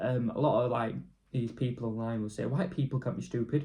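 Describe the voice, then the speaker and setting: A somewhat breathy man speaks in a dark, mellow tone with ordinary pitch variation. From northern England, Leeds. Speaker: YouTuber. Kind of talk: casual vlog rant. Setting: at home alone. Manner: rambling, fast flow.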